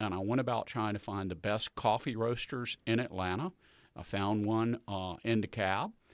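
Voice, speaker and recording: A man with a Southern US accent talks at a moderate pace in a fairly low pitch, with ordinary pitch variation. The sound is dry and close with no echo, in a very clean recording with a silent background. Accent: Southern US (Georgia). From US South, Southwest Georgia. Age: 60s. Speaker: coffee business owner. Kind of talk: casual interview chat.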